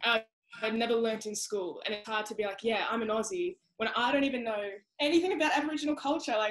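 Over a quiet background, a woman speaks very fast with lively intonation. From Australia. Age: young. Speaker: sprinter. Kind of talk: interview answer. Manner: passionate. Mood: earnest, reflective. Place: home room. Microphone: video call.

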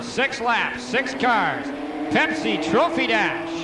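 A man's raised, projected voice comes through noticeable background noise. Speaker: track announcer. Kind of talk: race commentary over PA. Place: stadium. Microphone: pa.

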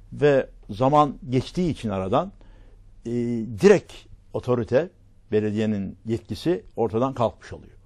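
A man with a medium pitch and a dark, mellow tone speaks at a moderate pace with lively intonation. The background is quiet. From Turkey, Marmaris; Turkey. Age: 80s+. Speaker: local TV talk show host; guest. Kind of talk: casual interview chat. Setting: studio. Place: studio. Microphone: lapel.

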